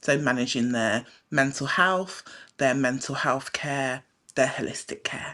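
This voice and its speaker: A woman with a British accent speaks at a very deep, low pitch and a fairly slow pace, with ordinary pitch variation. Her tone is bright and sharp, recorded very cleanly against a silent background. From Britain. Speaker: psychiatric nurse and hypnotherapist. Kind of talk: talk show interview.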